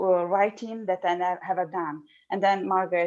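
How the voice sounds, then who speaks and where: A woman speaks with an Italian accent at medium pitch. Her pace is fairly quick. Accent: Italian, non-fluent English. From Italy. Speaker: speech and language therapist, PhD researcher. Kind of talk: podcast interview. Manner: halting.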